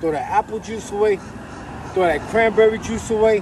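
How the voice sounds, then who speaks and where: Here a man with a high pitch speaks at a fairly quick pace with fairly even intonation. The sound is dry with no echo, plus light background noise. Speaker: poet giving diet advice. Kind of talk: casual vlog rant. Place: street. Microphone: camera far.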